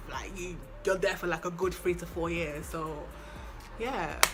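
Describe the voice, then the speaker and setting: With music playing in the background and audible room echo, a woman talks at a moderate pace. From London, England. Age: 20s. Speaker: lifestyle vlogger. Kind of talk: casual chat. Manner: animated.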